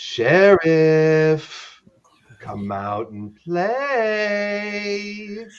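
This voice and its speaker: The speaker does a put-on character voice at a middle pitch. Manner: taunting, calling out.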